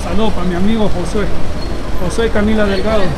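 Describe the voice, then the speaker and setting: The speaker keeps a moderate pace over loud background noise. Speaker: vlogger walking. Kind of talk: casual vlog chat. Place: street. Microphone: phone near.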